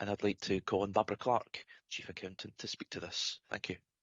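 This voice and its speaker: A moderate pace marks this speaker, who talks with a Scottish accent. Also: man. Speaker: committee chair. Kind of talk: chairing a formal meeting. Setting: council committee meeting.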